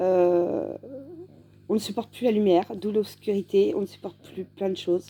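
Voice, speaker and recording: This woman has a dark, mellow tone at medium pitch. Her intonation is fairly even and her pace moderate. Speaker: patient giving testimony. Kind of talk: testimony. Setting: at home in bed, dim room. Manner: halting, many hesitations.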